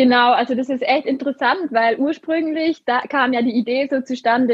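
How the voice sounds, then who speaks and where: A woman's high voice, with ordinary pitch variation, moves at a moderate pace. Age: 20s. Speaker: social media coach and co-founder. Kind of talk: interview.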